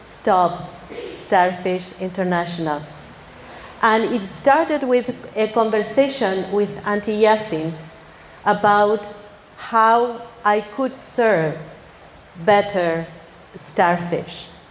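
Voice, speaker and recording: A woman talks at a very slow pace with long, frequent pauses and a fairly high pitch. Her pitch variation is ordinary, and noticeable background noise is present. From Argentina. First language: Spanish. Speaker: academy director with a PhD. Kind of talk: ceremony speech.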